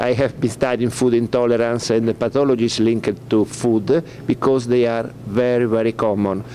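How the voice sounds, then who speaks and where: The speaker talks at a moderate pace with hardly any pauses, in an Italian accent and a monotone, flat intonation. Loudness stays very even over noticeable background noise. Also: man, medium pitch for a man. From Italy. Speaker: veterinarian. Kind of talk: press conference talk. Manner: halting.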